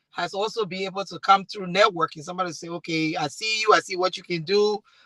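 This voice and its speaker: Bright and sharp in tone, the voice carries a Liberian accent and ordinary pitch variation, recorded dry and close with no echo. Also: woman. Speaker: talk show host and MC. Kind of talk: panel discussion.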